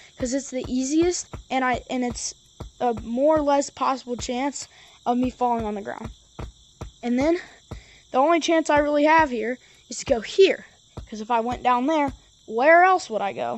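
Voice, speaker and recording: With an animated tone, a woman speaks at a moderate pace in a high pitch, using ordinary pitch variation, big swings in loudness, and long, frequent pauses. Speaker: gaming YouTuber. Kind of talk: tutorial. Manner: stutters; casual, animated.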